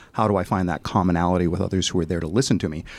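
This man talks very fast in a very deep, low pitch. The recording is very clean, with a silent background. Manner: fast talker.

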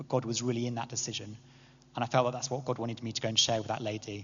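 A somewhat breathy man at medium pitch, going at a very fast pace. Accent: English. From England. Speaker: church speaker. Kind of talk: talk to a church group. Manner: hesitant, many fillers.

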